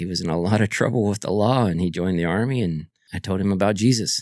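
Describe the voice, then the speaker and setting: On a very clean recording with a silent background and a dry, close sound without echo, a man with a very deep, low pitch speaks at a fairly quick pace. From Guam and Kentucky (Fort Knox). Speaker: army veteran. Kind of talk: interview conversation.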